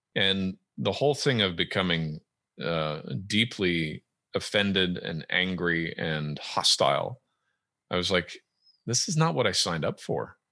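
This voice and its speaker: Over a quiet background, a man with a very deep, low pitch speaks at a fairly slow pace in a bright, sharp tone with lively intonation. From Edmonton, Canada. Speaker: author and podcast host. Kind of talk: casual interview chat.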